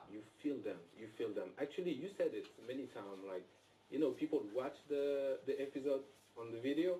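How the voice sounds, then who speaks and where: At a fairly quick pace, a man speaks with a non-native accent. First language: not English. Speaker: actor. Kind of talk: live interview. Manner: halting.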